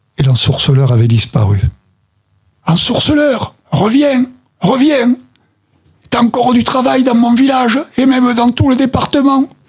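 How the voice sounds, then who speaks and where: Pausing long and often, a man speaks at a fairly slow pace with very even loudness. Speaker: storyteller and association president. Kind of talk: storytelling, told tale with narrative voice. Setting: studio. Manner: animated, vivid, expressive storyteller with dramatic character voices.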